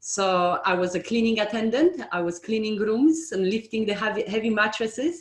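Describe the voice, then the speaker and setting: A woman speaks in a somewhat breathy, fairly high voice with lively intonation, a moderate pace and a non-native accent. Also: hardly any pauses. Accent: foreign. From outside the UK. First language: not English. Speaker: estate agency owner. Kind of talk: interview.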